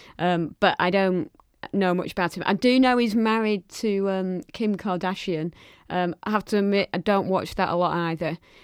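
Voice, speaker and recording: At a moderate pace with ordinary pitch variation, the speaker talks in a Lancashire accent, in a very clean recording with a silent background and a dry, close sound with no echo. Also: woman, medium pitch for a woman. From Lancashire, northern England. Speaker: podcast co-host. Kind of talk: casual chat.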